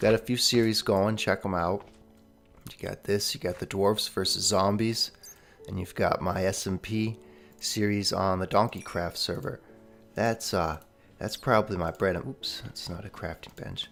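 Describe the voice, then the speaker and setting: With music in the background, a man speaks at a fairly low pitch with fairly even intonation. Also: moderate pace. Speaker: gaming YouTuber. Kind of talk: let's play commentary. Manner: casual, conversational.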